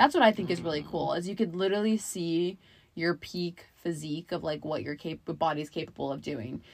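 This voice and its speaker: A woman talks at a fairly quick pace in a fairly low pitch, with ordinary pitch variation. It is a normal speaking voice. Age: 20s. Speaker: podcast co-host, daughter. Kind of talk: casual chat.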